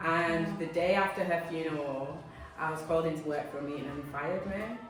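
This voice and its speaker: Over noticeable background noise, a woman with a very deep, low pitch speaks with fairly even intonation. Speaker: spoken word poet. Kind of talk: interview answer.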